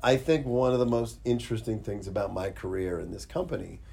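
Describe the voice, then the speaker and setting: A man with an American accent and a dark, mellow, somewhat breathy tone speaks with ordinary pitch variation, and audible room echo can be heard. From Pittsburgh, US. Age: 50s. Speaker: special effects artist. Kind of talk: casual interview chat. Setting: studio.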